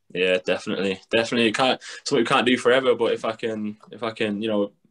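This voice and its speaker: A man with a Mancunian accent speaks very fast at a fairly low pitch. His intonation is monotone and flat against a quiet background. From Manchester, England. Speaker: professional basketball player; guest. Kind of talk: casual chat. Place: home room. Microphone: video call.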